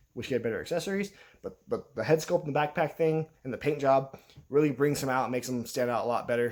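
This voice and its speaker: A man speaks at a very fast pace. His pitch is fairly high, with ordinary pitch variation. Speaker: toy collector YouTuber. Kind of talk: casual video review. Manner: halting.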